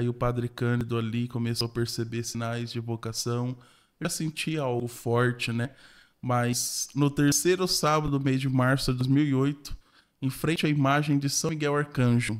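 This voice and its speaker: At a moderate pace, a man talks with fairly even intonation at a medium pitch. He has an ordinary speaking voice, on a very clean recording with a silent background. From interior of São Paulo state, Brazil. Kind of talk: podcast interview. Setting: studio podcast.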